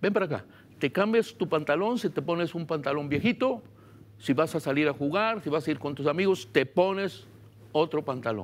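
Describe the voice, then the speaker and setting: At a moderate pace, a man with a Guatemalan accent speaks in a fairly high pitch with lively intonation, captured in a very clean recording with a silent background. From Guatemala, Baja Verapaz. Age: 70s. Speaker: pastor. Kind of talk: sermon.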